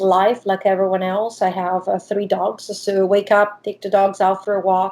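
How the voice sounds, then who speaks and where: A woman is speaking. She has an Italian accent. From Italy. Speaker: diving professional and shark expert. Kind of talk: interview.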